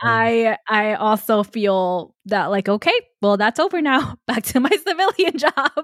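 At a fairly slow pace with hardly any pauses, the voice makes very wide pitch swings at very even loudness in a dry, close sound with no echo. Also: woman. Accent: New York. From New York, Queens. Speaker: podcast host, military reservist. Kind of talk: interview.

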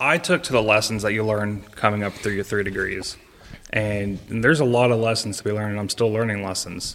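A man talks fairly quickly in an unremarkable speaking voice with an American accent. His pitch sits fairly low with ordinary variation. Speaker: lodge master and shriner. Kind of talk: casual chat.

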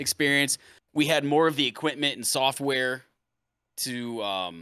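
With an American accent, a man speaks at a medium pitch in a bright, sharp tone, recorded very cleanly against a silent background. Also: dry, close sound with no echo. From US Midwest. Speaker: Twitch streamer and musician. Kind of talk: casual chat.

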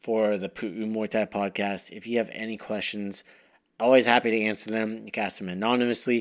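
On a very clean recording with a silent background, a man talks at a moderate pace in a normal speaking voice. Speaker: podcast host and Muay Thai instructor. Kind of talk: pep talk to listeners. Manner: earnest, urgent, motivational; direct, encouraging, conversational.

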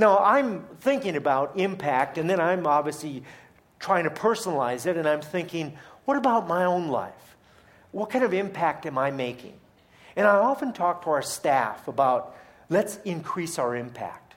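Audible room echo surrounds a man who talks at a high pitch and moderate pace with very wide pitch swings. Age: 50s. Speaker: charity leader and guest speaker. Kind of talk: sermon. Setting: church.

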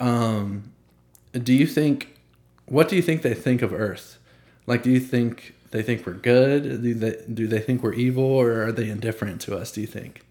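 An ordinary speaking voice from a man, medium in pitch, at a moderate pace and with ordinary pitch variation. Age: 20s. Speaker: podcast host. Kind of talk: casual chat. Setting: home studio.

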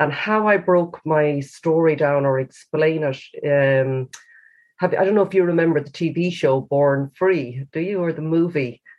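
Speaking fairly slowly in a western Irish accent, a woman has a very deep, low voice. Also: ordinary pitch variation. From Galway, Ireland. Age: 50s. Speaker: author and cancer survivor. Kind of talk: interview.

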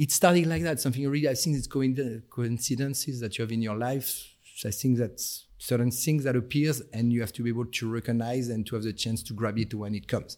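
Speaking at a fairly quick pace and medium pitch, a man with a French accent comes through on a very clean recording with a silent background. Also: ordinary pitch variation. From France. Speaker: senior perfumer guest. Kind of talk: interview conversation. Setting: studio. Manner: hesitant, with fillers.

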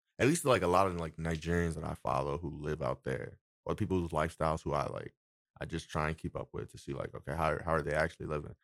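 A man talks at a very fast pace with a very deep, low pitch and vocal fry. The sound is dry and close, with no echo. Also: fairly even intonation. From Nigeria and US. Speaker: podcast guest, friend of host. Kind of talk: casual chat. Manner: halting.

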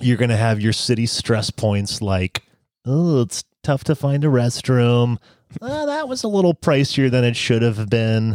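Fairly slowly and with ordinary pitch variation, a man of medium pitch talks in an unremarkable speaking voice on a very clean recording with a silent background. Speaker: travel podcast host. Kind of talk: casual chat.

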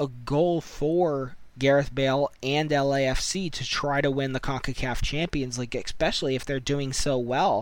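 A man with an American accent, fairly high-pitched, at a fairly slow pace, with an unremarkable speaking voice and ordinary pitch variation. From United States. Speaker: podcast host. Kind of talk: solo podcast commentary.

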